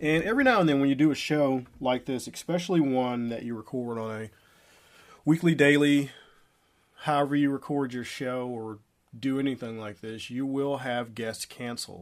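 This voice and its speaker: A man talks at a moderate pace with a medium pitch and ordinary pitch variation. His loudness swings a great deal. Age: 40s. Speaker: podcast host and social media business coach. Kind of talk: solo podcast monologue. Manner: casual, conversational.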